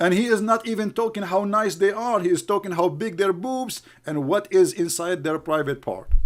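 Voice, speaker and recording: Speaking with an Arabic accent, a man uses a high pitch, ordinary pitch variation, and a moderate pace, with hardly any pauses. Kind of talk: heated livestream rant. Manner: animated.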